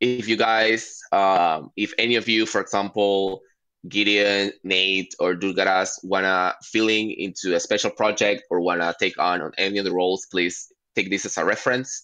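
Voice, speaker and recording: Against a quiet background, a man with a bright, sharp tone and fairly low pitch speaks at a moderate pace with fairly even intonation. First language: not English. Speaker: working group steward, meeting facilitator. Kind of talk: online work meeting. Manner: halting, many fillers.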